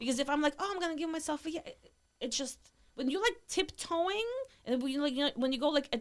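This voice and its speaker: A woman with a high-pitched voice speaks very fast in a Russian accent. Her intonation is lively. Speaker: entrepreneur. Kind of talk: casual chat.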